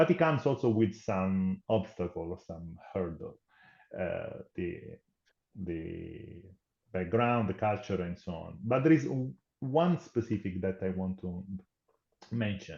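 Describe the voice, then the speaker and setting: An Italian accent, big swings in loudness, lively intonation, a fairly slow pace with long, frequent pauses. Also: man, fairly low pitch for a man. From Italy. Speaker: tech company program manager. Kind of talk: podcast interview.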